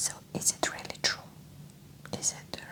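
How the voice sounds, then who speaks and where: Whispering very slowly in a gentle tone, a woman speaks over noticeable background noise. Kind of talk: ASMR emotional support talk. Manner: soft-spoken, gentle, conversational.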